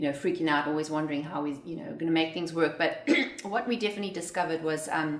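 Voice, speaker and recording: A woman with a South African accent, fairly low pitch, ordinary pitch variation and a very fast pace, with noticeable background noise and audible room echo. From South Africa, Johannesburg. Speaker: entrepreneur. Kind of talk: interview.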